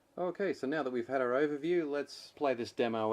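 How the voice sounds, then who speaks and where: Here a man is talking. He keeps a fairly quick pace. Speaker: gear reviewer. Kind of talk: product review. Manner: monotone.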